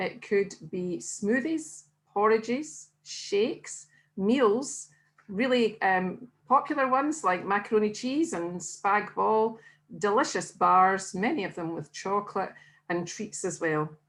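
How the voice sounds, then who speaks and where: In a Scottish accent, a woman speaks very slowly with very wide pitch swings, recorded very cleanly against a silent background. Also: medium pitch for a woman. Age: 60s. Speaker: weight-loss diet consultant. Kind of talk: interview.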